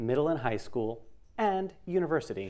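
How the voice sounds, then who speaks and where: The clip is very clean, set against a silent background. His delivery moves at a moderate pace, and this man's intonation is lively. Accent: New York. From New York. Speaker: software trainer and sound designer. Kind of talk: lecture. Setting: classroom with live audience and livestream. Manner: animated.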